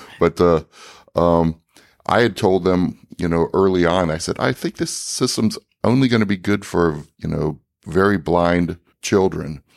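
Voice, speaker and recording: A man with a very deep, low voice, ordinary pitch variation and a fairly slow pace. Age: 60s. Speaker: inventor of a training device. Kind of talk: interview. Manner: halting, many fillers.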